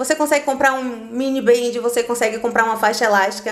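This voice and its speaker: Over noticeable background noise, a woman speaks very fast with a Bahian accent. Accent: Bahian Brazilian Portuguese. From Bahia, Brazil (Salvador). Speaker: physical education instructor. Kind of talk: podcast interview.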